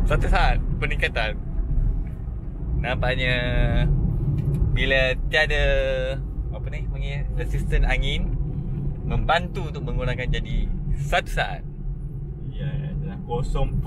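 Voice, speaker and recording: The speech comes at a very slow pace with long, frequent pauses, a dry sound with no echo, and loud background noise. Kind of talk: casual commentary. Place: car.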